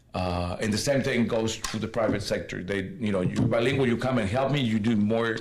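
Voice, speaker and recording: Medium-pitched male voice at a fairly quick pace, ordinary pitch variation, audible room echo and noticeable background noise. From northern Mexico, Monterrey. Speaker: community leader. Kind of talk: panel talk.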